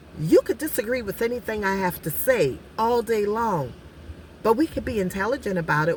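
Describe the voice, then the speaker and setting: Very wide pitch swings at a moderate pace over noticeable background noise. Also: woman. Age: 50s. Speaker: life coach and vlogger. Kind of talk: casual vlog monologue. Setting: outdoors at the beach.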